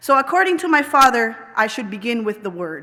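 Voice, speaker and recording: A woman speaks with a Spanish accent at a moderate pace. Her voice is high-pitched, with a bright, sharp tone. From Puerto Rico. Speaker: professor, anthropologist. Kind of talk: commencement address. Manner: formal.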